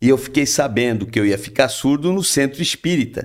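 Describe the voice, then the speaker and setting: His pitch sits in the middle range for a man, with ordinary variation. Delivered at a moderate pace, it is an unremarkable speaking voice. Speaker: spiritist speaker. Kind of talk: casual chat.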